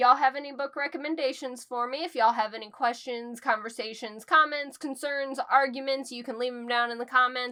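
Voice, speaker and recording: A woman's raised, projected voice, high-pitched and fairly quick, with big swings in loudness but fairly even intonation. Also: hardly any pauses. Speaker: book reviewer. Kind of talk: casual chat. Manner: not loud.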